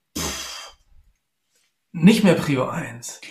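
Amid audible room echo, a man with a high pitch talks at a very slow pace. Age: 50s. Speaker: former executive and electrical engineer. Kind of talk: podcast interview.

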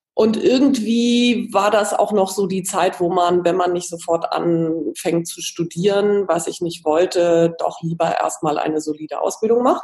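A woman speaks with hardly any pauses. There is noticeable background noise. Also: medium pitch for a woman, ordinary pitch variation, fairly slow pace. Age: 40s. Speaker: magazine editor and coach. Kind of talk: interview.

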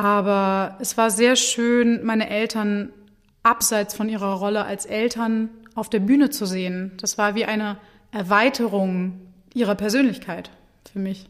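In a plain, everyday voice, a woman talks at a fairly slow pace and fairly high pitch with fairly even intonation. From Germany, Hannover. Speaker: opera singer. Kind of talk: interview.

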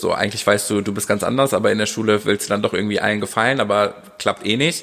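A man rattles off words at a very fast pace in a medium pitch. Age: 30s. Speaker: dance teacher and choreographer. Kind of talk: casual chat.

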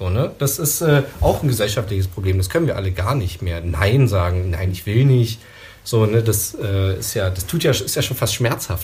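A man's fairly low-pitched, lively-intoned delivery in a normal speaking voice. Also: moderate pace. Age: 30s. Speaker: media psychologist. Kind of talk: casual chat.

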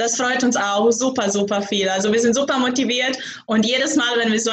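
A woman with a Croatian accent speaks at a moderate pace and fairly even intonation, with audible room echo. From Croatia, Zagreb. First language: Croatian (speaking German). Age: young. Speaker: startup founder. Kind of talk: interview.

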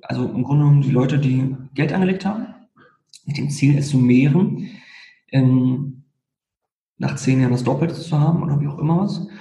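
With audible room echo, a man speaks at a moderate pace and fairly high pitch, his dark, mellow tone somewhat breathy, his pitch varying in an ordinary way, with long, frequent pauses. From Berlin. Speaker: lawyer. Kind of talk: casual interview.

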